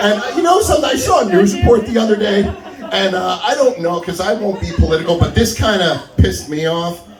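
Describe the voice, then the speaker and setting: A man talks loudly at a fairly quick pace in a high pitch. Crowd noise fills the background, and room echo is audible. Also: lively intonation. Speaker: stand-up comedian. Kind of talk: stand-up.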